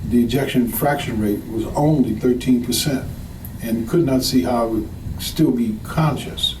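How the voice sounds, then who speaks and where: Over noticeable background noise and audible room echo, a man with an American accent speaks at medium pitch and a fairly slow pace with fairly even intonation. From US South, New Orleans. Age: 60s. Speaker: patient giving testimonial. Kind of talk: testimony.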